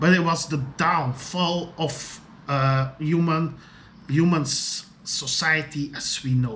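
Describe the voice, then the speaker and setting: A man with a fairly high pitch speaks at a very slow pace with fairly even intonation and big swings in loudness. Noticeable background noise runs underneath. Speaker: video diarist. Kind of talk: solo video diary monologue. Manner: halting, many fillers and repetitions.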